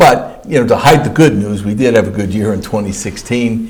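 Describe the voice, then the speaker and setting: Somewhat breathy, a man speaks at a fairly quick pace. His pitch varies in an ordinary way. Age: 60s. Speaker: county comptroller. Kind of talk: interview answer.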